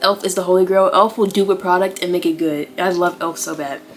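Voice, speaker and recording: Over noticeable background noise, a woman with a medium pitch speaks at a very fast pace with fairly even intonation. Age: young. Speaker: beauty YouTuber. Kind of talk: tutorial. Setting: in her bedroom. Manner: casual, rambling with fillers.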